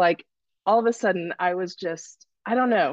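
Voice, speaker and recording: A woman has an ordinary speaking voice at medium pitch with ordinary pitch variation, heard in a dry, close sound with no echo. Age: 50s. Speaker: coaching client. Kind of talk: live Q&A testimony.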